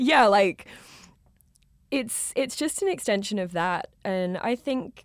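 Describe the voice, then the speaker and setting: A woman with an Australian accent, fairly slow, in a very clean recording with a silent background. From rural Australia. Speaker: DJ. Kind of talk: casual chat.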